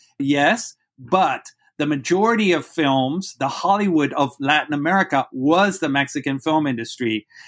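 A man with a Spanish accent, fairly high in pitch, at a moderate pace with ordinary pitch variation. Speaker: university professor. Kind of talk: interview, lecture-like explanation. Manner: articulate, fluent, academic.

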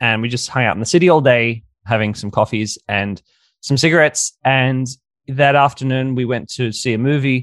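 Over a quiet background, a man speaks at a moderate pace and medium pitch with ordinary pitch variation, an unremarkable speaking voice. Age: 30s. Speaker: dating coach. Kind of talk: interview.

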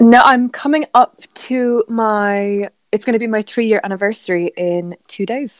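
A woman with an Irish accent, fairly high pitch, ordinary pitch variation and a fairly slow pace, in a dry, close sound with no echo. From Ireland. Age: 20s. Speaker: podcast co-host. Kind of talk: casual chat.

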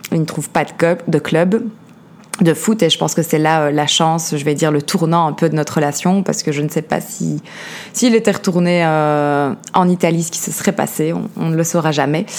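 A woman speaks with a Belgian accent at a moderate pace. Her pitch is fairly low, with ordinary pitch variation. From Belgium, Liège. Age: 30s. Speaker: podcast host, life coach. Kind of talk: personal testimony. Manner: hesitant, many fillers.

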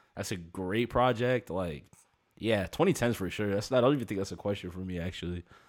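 An unremarkable speaking voice talks at a fairly quick pace in an American accent. The recording is very clean, with a silent background. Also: man, fairly low pitch for a man, ordinary pitch variation. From US, Maryland. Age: 20s. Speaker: hip-hop producer and rapper. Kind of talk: casual interview chat.

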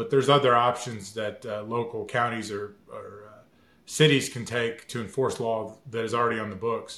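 A man talks at a moderate pace and medium pitch in a bright, sharp tone. His intonation is monotone and flat, while his loudness swings a lot. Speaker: lawyer. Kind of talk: legal explanation. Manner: halting, many fillers.

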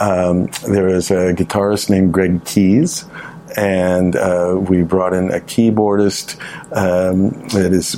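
A man's very deep, low voice with an American accent, very slow and very even in loudness, over noticeable background noise. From American-born, Canada. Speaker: musician. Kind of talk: radio interview, casual chat. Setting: radio studio.

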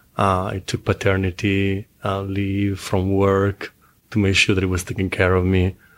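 In a very clean recording with a silent background, a man talks at a moderate pace with a fairly low pitch and monotone, flat intonation. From Italy. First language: Italian. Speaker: adult film performer. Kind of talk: casual interview.

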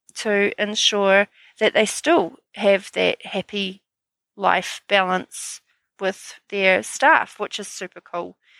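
Someone with a New Zealand accent speaks at a very slow pace. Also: woman, very clean recording, silent background. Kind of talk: solo podcast monologue. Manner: upbeat, energetic.

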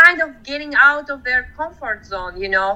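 A woman speaks in a raised, projected voice at a moderate pace. Her high pitch, bright, sharp tone and lively intonation stand out. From Georgia. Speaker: horseback travel organizer. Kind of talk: interview.

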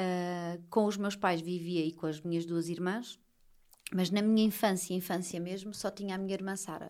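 Her pitch medium and her intonation monotone and flat, a woman speaks at a moderate pace. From Portugal, Lisbon. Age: 30s. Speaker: social media writing teacher and mother. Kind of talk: casual interview.

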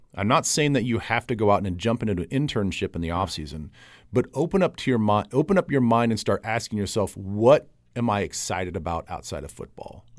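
With lively intonation, a man talks at a fairly low pitch in an unremarkable speaking voice. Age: 40s. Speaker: podcast host and football broadcaster. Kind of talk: casual interview.

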